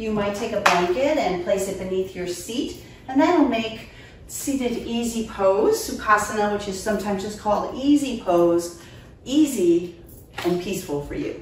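Light background noise and audible room echo surround a woman talking at a moderate pace. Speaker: yoga instructor. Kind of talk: tutorial. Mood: calm, soothing. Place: home room.

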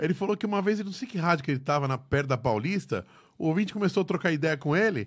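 Very fast, lively speech from a man with vocal fry, against a quiet background. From Brazil. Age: 40s. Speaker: podcast host. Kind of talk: casual chat. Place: studio. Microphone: studio mic.

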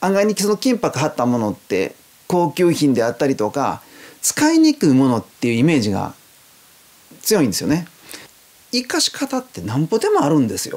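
Pitched fairly high, a man speaks at a moderate pace with very wide pitch swings and long, frequent pauses. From Japan. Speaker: gold leaf craftsman. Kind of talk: interview. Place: home room.

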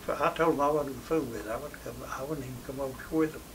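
With a Southern Appalachian accent, a man speaks at a fairly high pitch. His intonation is fairly even, and there is light background noise. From Tennessee, USA. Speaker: WWII veteran. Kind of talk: interview answer. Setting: interview setting.

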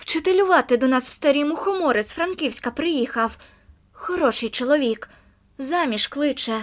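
The speaker puts on a character voice and keeps it moving at a moderate pace. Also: woman, high pitch for a woman. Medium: read story.

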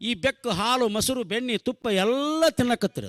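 In a dry, close sound with no echo, a man with an extremely high pitch and a bright, sharp tone speaks with ordinary pitch variation. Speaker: comedian. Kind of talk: stand-up. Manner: animated, acting out characters.

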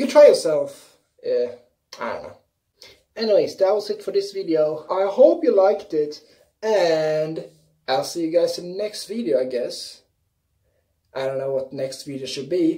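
A woman with a Swedish accent speaks at a moderate pace with long, frequent pauses against a quiet background. Her dark, mellow tone carries very wide pitch swings and big swings in loudness. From Sweden. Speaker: YouTuber. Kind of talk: casual vlog. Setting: bathroom. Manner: animated.

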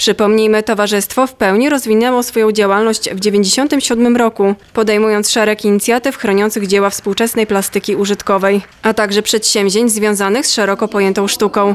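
Over noticeable background noise, a woman with a fairly high pitch speaks at a fairly quick pace in a monotone, flat intonation, with hardly any pauses. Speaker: news reporter. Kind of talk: news report narration.

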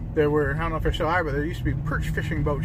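A man's voice sounds dry, with no echo. Loud background noise runs behind him. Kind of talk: casual travel commentary. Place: car. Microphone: phone near.

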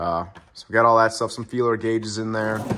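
A man's fairly low-pitched voice at a moderate pace, with light background noise. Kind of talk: casual vlog chat, tool tour. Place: garage. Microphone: phone near.

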